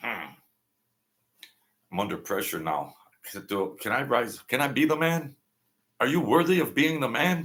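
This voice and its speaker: Long, frequent pauses break up the speech of a man whose fairly high-pitched voice carries vocal fry. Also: ordinary pitch variation, moderate pace. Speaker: live stream host. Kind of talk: casual live stream talk.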